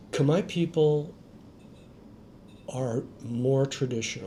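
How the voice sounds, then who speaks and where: With ordinary pitch variation at a medium pitch, a man speaks in a dark, mellow tone that is somewhat breathy. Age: 60s. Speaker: expat. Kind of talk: interview.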